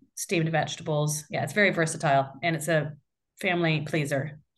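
A woman with an American accent speaks at a very deep, low pitch. Her delivery is fairly quick and monotone, with flat intonation. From US Midwest (Iowa). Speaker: app co-founder. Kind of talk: casual interview.

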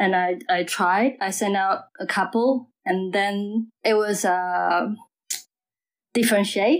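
A woman speaks at a very slow pace with a Mandarin accent, her pitch medium and her loudness very even, on a very clean recording with a silent background. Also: ordinary pitch variation. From Taiwan. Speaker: DJ. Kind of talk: casual interview chat. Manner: halting.

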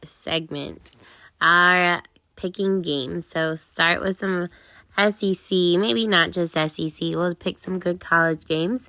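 At a very slow pace, a woman with a fairly low pitch and a bright, sharp tone speaks on a very clean recording with a silent background. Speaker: sports podcast co-host. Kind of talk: casual sports talk commentary.

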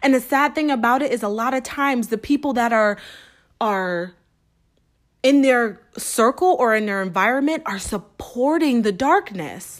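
A high-pitched woman with an American accent, lively intonation and a moderate pace in a very clean recording with a silent background. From US Northeast, Springfield, Massachusetts. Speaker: author and podcast host. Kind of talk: personal monologue.

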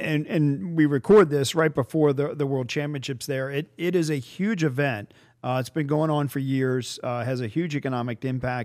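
A man's normal speaking voice, fairly high in pitch, at a moderate pace with ordinary pitch variation and hardly any pauses. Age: 60s. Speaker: podcast host, tourism bureau executive. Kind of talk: casual interview.

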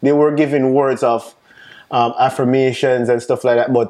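A man speaks with a Jamaican accent at a moderate pace. His pitch sits in the medium range. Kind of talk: casual interview.

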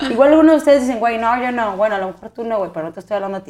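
A woman speaks with lively intonation. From northern Mexico, Chihuahua. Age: 30s. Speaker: podcast co-host. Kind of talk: casual chat.

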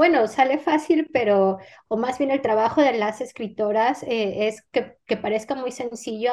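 Set against a quiet background, the speaker's dark, mellow tone carries a Mexican accent, ordinary pitch variation and a very slow pace. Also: woman. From Mexico. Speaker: novelist. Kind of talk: interview.

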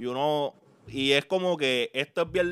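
With music in the background, a man with a Puerto Rican accent talks at a fairly high pitch and ordinary pitch variation. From Puerto Rico, Carolina. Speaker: podcast host. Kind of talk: podcast intro and outro; casual interview chat.

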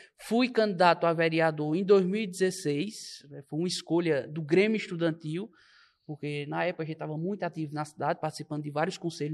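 A man's plain, everyday voice, fairly high in pitch, with ordinary pitch variation and a moderate pace over a quiet background. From Pernambuco, Brazil (Belo Jardim). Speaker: young politician and political commentator. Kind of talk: podcast interview.

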